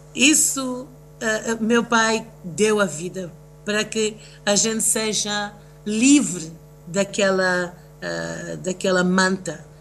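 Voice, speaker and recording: Speaking very slowly with long, frequent pauses, a woman uses a medium pitch with ordinary variation. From raised between the US, Tanzania and Russia; Mozambican family. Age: 50s. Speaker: singer and event producer. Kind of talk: interview, personal testimony. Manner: halting, many fillers.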